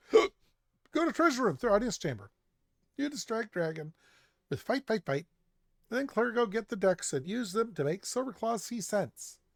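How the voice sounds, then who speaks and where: In a put-on character voice pitched fairly high, the speaker goes at a moderate pace on a very clean recording with a silent background. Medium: game stream. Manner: broken grammar, hurried.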